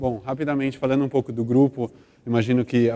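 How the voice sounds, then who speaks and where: A man's medium-pitched, dark, mellow tone with a São Paulo accent, a fairly quick pace and monotone, flat intonation. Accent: São Paulo (paulistano). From Brazil, São Paulo. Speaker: corporate brand manager. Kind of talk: conference talk.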